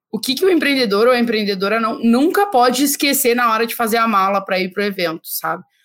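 A woman talks at a very fast pace in a fairly high voice. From southern Brazil (Rio Grande do Sul). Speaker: podcast host. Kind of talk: casual chat.

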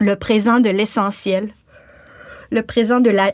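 Her intonation fairly even, a woman with a fairly high voice speaks at a very slow pace. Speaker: author and actress. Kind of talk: scripted narration.

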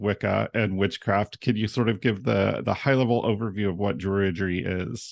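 In a normal speaking voice, a man with fairly low pitch and ordinary pitch variation talks at a moderate pace, the sound dry and close with no echo over a quiet background. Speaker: podcast host. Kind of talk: interview conversation.

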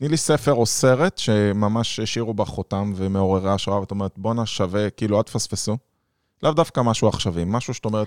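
In a very clean recording with a silent background and a dry, close sound without echo, a man talks at a fairly quick pace in an ordinary speaking voice, his fairly low pitch showing ordinary variation. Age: 40s. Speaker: podcast host, business consultant. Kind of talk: interview conversation.

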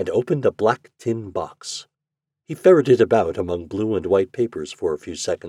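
Quiet surroundings and a natural reading voice

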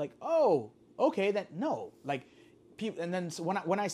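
Here a man talks with lively intonation. Noticeable background noise runs beneath his voice. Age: 30s. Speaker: sneaker collector and entrepreneur. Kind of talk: casual interview.

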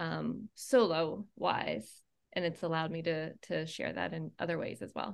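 A normal speaking voice from a woman with an American accent, fairly low pitch and ordinary pitch variation, in a very clean recording with a silent background. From Maine, US. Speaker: performing arts company founder. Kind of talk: casual interview.

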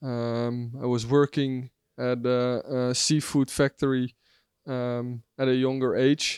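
Delivered at a very slow pace with long, frequent pauses and monotone, flat intonation, the voice sits in a very clean recording with a silent background and a dry, close sound with no echo. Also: man, medium pitch for a man. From Netherlands, Zeeland coastal village. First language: Dutch. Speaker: customer support staff. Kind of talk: casual interview. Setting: rooftop hotel location.

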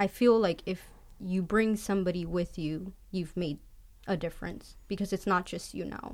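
In an American accent, a woman with an unremarkable speaking voice talks at medium pitch and a moderate pace with fairly even intonation. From US, migrant farm family between Florida and Michigan. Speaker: mechanical engineer. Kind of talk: panel interview.

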